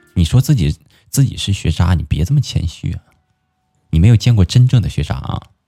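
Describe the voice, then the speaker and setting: Very wide pitch swings at a fairly quick pace, broken by long, frequent pauses, over music in the background. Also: man, fairly low pitch for a man. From Inner Mongolia. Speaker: live stream host. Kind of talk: casual chat. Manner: animated.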